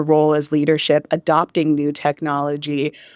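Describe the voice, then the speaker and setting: Here a woman with a northern US accent speaks at a moderate pace. The recording is very clean with a silent background and a dry, close sound with no echo. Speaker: podcast host, customer success director. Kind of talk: live podcast interview. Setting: live at a conference.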